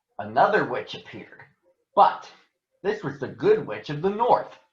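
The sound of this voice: A man with a fairly high pitch speaks at a fairly slow pace, swinging his pitch widely, with audible room echo.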